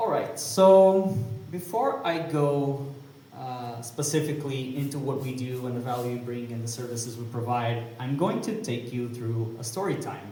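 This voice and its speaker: With a Portuguese accent, a man talks at a moderate pace amid noticeable background noise and audible room echo. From Portugal, Porto. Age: 30s. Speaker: community management lead at a crypto company. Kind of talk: conference talk. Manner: hesitant, many fillers.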